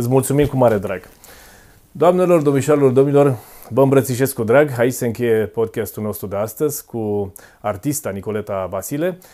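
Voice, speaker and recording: A man with a dark, mellow tone speaks at a moderate pace with ordinary pitch variation over a quiet background. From Romania, Dâmbovița county; Romania. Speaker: podcast host. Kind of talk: interview. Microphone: lapel.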